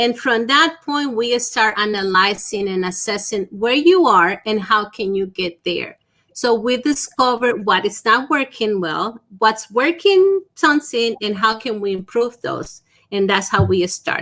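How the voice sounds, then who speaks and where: A woman speaks with a Spanish accent in a fairly high, bright, sharp voice. Her intonation is lively and her pace fairly slow. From Dominican Republic. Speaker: small business consultant. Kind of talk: interview.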